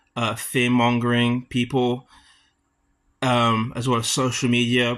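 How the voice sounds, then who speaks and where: A man with a British accent speaks at a moderate pace and medium pitch in a very clean recording with a silent background. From UK. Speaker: student. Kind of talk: class debate presentation. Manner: halting.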